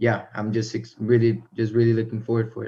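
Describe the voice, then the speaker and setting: With an American accent, a man speaks at a medium pitch. His somewhat breathy voice has a dark, mellow tone. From Miami, Florida then North Carolina, US. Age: young. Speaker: racing driver. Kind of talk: live interview. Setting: video call. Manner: halting.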